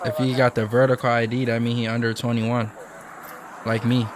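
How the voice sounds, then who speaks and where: Clear background noise sits under a man talking rather briskly in an American accent. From Michigan. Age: 20s. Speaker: YouTuber reacting to police chase videos. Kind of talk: casual reaction commentary. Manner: casual, conversational.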